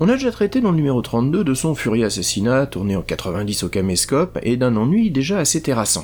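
Over music in the background, a man talks at a moderate pace in a medium pitch, his voice making very wide pitch swings. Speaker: podcast host, film critic. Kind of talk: scripted narration. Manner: ironic.

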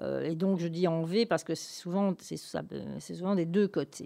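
A woman speaks at a fairly slow pace in a dark, mellow tone, with ordinary pitch variation and a dry, close sound that carries no echo. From southern Belgium (Gaume). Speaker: radiologist. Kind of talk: interview. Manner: halting.

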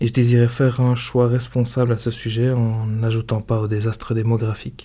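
At a moderate pace, a man speaks in a flat monotone, his medium-pitched voice dark, mellow and somewhat breathy. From Belgium. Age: 30s. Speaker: podcaster. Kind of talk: scripted narration.

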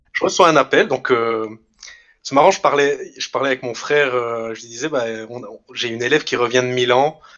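This is a plain, everyday voice with big swings in loudness. Its pitch varies in an ordinary way and the pace is moderate. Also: man, medium pitch for a man. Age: 20s. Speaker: schoolteacher. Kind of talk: interview conversation.

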